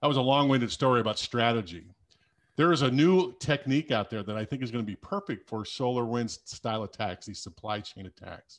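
Over a quiet background, a man talks at a fairly quick pace in a normal speaking voice with ordinary pitch variation. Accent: American. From US Midwest, South Dakota. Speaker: cybersecurity executive and military veteran. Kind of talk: casual interview.

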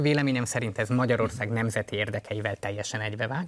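With fairly even intonation, a man talks at a very fast pace in a very clean recording with a silent background. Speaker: party co-leader, politician. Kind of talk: political interview.

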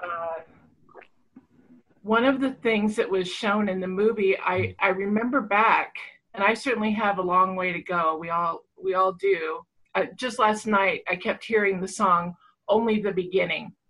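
A woman with an unremarkable speaking voice talks at a fairly slow pace. Her pitch is medium, with ordinary pitch variation. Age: 50s. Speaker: online retreat participant. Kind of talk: personal sharing. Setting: video call.

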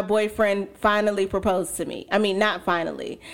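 A woman's ordinary speaking voice at a medium pitch and fairly slow pace, on a very clean recording with a silent background. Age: 20s. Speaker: podcast host. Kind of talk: casual chat. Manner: casual, filler-heavy.

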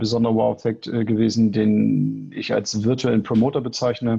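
Music plays in the background as the speaker talks with fairly even intonation. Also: man. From Hannover, northern Germany. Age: 30s. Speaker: sports business consultant. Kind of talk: interview. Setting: remote recording.

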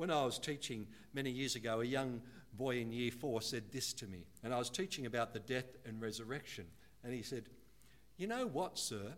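At a moderate pace, a man speaks in an ordinary speaking voice, with a medium pitch and ordinary pitch variation. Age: 60s. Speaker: guest preacher. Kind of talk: sermon.

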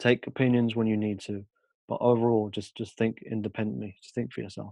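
Big swings in loudness mark this man's fairly quick, fairly low-pitched speech, delivered with monotone, flat intonation. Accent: British. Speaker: podcast guest. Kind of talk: podcast interview.

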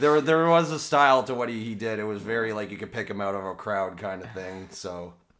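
An unremarkable speaking voice: a man, fairly low in pitch, talks at a fairly quick pace with hardly any pauses and lively intonation. His loudness swings widely in a very clean recording with a silent background. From Toronto, Canada. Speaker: former exchange student. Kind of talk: casual chat.

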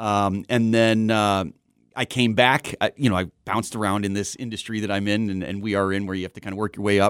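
A man with an American accent and an unremarkable speaking voice talks at a fairly quick pace and fairly low pitch, his intonation fairly even. The recording is very clean, with a silent background and a dry, close sound with no echo. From Southern California. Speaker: TV news journalist. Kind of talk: casual chat.

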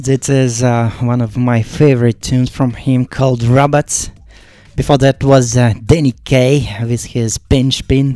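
In a Russian accent, a man with a dark, mellow tone speaks fairly slowly in a flat monotone, the sound dry and close with no echo. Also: medium pitch for a man. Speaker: radio DJ host. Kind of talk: live DJ radio show with track announcements. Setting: studio.

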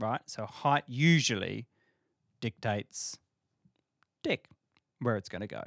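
A man's medium-pitched voice with an Australian accent and vocal fry, at a fairly slow pace with long, frequent pauses and big swings in loudness, dry and close with no echo. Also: ordinary pitch variation. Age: 30s. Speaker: podcast guest. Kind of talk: casual chat.

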